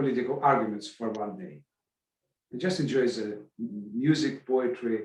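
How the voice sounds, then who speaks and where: This man talks very slowly at a medium pitch. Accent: Russian. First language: Russian. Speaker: arts event organizer. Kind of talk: podcast interview. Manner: halting, many false starts.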